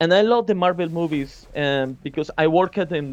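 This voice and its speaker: This man speaks with a Spanish accent at a high pitch. His pace is moderate and his pitch variation ordinary. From Colombia. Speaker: concept artist. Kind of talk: interview.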